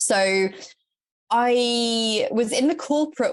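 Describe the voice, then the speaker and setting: This speaker has an English accent and lively intonation. The pace is very slow. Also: woman. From England. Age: 30s. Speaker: fitness and nutrition coach. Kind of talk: podcast interview.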